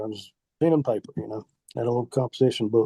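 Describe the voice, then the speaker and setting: A man speaks at a very fast pace with a dark, mellow tone and ordinary pitch variation. The sound is dry and close, with no echo. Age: 60s. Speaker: outdoor writer and turkey hunter. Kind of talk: casual interview chat.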